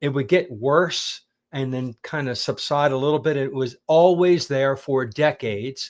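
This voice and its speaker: A man with an American accent and an unremarkable speaking voice, fairly high in pitch with ordinary pitch variation, at a fairly slow pace in a very clean recording with a silent background. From Pennsylvania, US. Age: 60s. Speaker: carnivore diet teacher. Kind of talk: interview, personal story.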